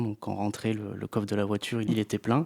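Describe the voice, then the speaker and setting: Fairly low in pitch, a man talks fairly quickly in a flat monotone, the sound dry and close with no echo. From Brittany, France (Finistère, Plougastel). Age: 30s. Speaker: geologist, science communicator. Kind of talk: interview. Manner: hesitant, many fillers.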